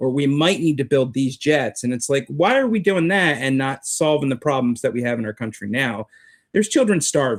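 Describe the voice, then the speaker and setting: In a plain, everyday voice, a man with fairly high pitch and lively intonation speaks at a moderate pace on a very clean recording with a silent background. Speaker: street preacher. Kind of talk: interview answer, political commentary.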